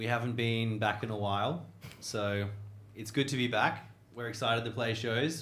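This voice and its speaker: A man talks at a moderate pace with an Australian accent. His intonation stays fairly even. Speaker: rock band member. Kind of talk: casual interview. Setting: studio. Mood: relaxed, friendly. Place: studio. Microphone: handheld.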